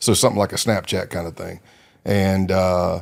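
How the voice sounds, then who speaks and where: A man with an American accent, in a very clean recording with a silent background. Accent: southern US redneck. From South Carolina. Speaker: retired undercover FBI agent. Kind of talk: interview storytelling. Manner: conversational, with frequent fillers.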